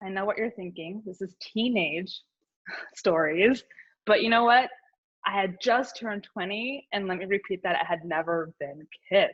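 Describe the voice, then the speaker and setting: This woman has an ordinary speaking voice at a medium pitch, with ordinary pitch variation, a moderate pace and big swings in loudness. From Houston, Texas (childhood, moved around). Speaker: storyteller. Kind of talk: personal storytelling.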